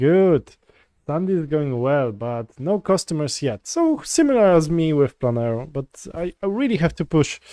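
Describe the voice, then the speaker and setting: In a Polish accent, a man speaks at a moderate pace and a fairly high pitch, his tone dark and mellow, his intonation lively, and the sound dry and close with no echo. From Poland. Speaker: software developer streamer. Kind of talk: live coding stream chat. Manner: halting, many fillers and restarts.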